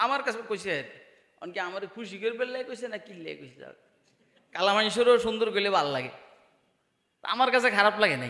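A man speaks in a high, bright and sharp voice, raised and projected, with an animated tone, lively intonation, big swings in loudness and audible room echo. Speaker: Islamic preacher. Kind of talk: sermon. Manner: animated, rhetorical questions to audience.

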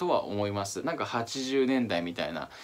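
Fairly quick pace from a male speaker. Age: 30s. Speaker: fashion YouTuber. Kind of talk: casual talk to camera. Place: home room.

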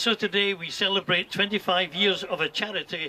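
Light background noise accompanies a man speaking in a high voice at a moderate pace. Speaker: charity event host. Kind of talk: formal speech. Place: garden. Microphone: camera far.

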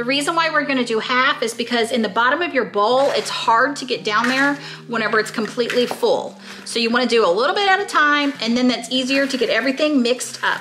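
At a very fast pace, a woman talks in a high pitch with ordinary pitch variation against light background noise. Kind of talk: tutorial. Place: kitchen.

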